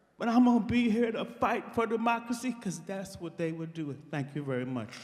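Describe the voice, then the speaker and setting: A man's high voice at a fairly quick pace, swinging very widely in pitch over noticeable background noise. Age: 70s. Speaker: teacher. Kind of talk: public comment. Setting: public meeting in school. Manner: animated.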